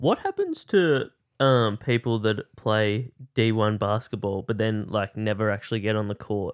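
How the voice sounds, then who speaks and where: A man with an Australian accent, fairly low-pitched, fairly even in intonation, at a fairly slow pace. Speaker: podcast host. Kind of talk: casual chat.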